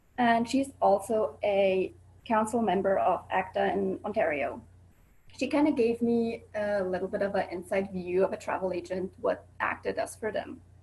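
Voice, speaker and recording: Somewhat breathy and with lively intonation, the speaker uses a Swiss accent at a moderate pace. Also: woman, medium pitch for a woman. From Switzerland. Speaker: student presenter. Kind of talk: presentation. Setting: video call.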